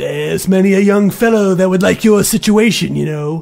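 A man's gruff, put-on character voice with lively intonation. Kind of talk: classic radio drama acting. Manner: gruff, scornful, irritable.

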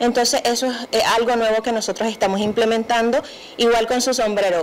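Speech comes at a very fast pace over light background noise. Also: woman. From Nicaragua. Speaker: crafts entrepreneur. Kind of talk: TV interview. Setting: TV studio. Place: studio. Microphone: handheld.

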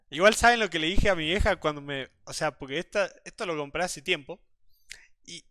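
A man's bright, sharp tone at a very fast pace, with lively intonation. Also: quiet background. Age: 20s. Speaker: streamer. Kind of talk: casual live stream chat. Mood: amused, laughing. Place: home room.

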